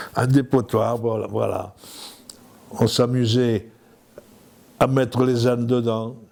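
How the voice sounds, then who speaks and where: A very slow, monotone, flat delivery with long, frequent pauses. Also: man, medium pitch for a man. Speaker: villager. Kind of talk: casual interview.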